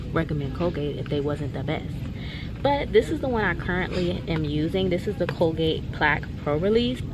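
Loud background noise fills the clip. The speaker talks at a fairly quick pace. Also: woman. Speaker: vlogger. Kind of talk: casual vlog chat. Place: shop. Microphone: phone near.

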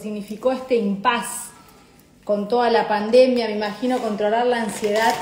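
The woman's intonation is monotone and flat, at a moderate pace. Light background noise and audible room echo are present. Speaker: live show host. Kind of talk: casual live stream chat. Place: kitchen. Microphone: phone near.

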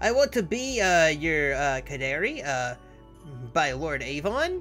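Clear music plays behind a put-on character voice that moves at a fairly slow pace. The pitch swings very widely. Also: woman, very deep, low pitch for a woman. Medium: virtual streamer. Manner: curious, naive, bratty.

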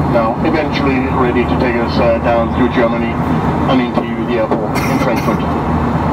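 Loud noise fills the background. A man talks over it. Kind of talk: in-flight announcement. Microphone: pa.

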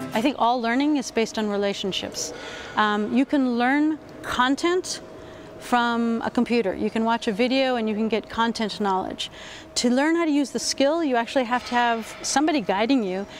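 A woman with a high pitch speaks at a moderate pace in an American accent, using ordinary pitch variation. The sound is dry with no echo, over light background noise. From US West Coast, Berkeley, California; California. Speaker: university lecturer. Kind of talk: interview. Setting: education conference. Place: hall. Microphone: lapel.

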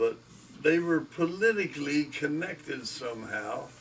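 A man's voice over light background noise. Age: 80s+. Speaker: grandfather. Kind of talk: interview answer. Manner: casual, rambling. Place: home room. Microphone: camera far.

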